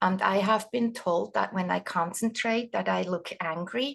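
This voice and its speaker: A woman speaks with a Swiss accent at a medium pitch and a moderate pace. The background is quiet. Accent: Swiss accent, noticeable. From Switzerland. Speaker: doula trainer, retired nurse. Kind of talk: webinar presentation.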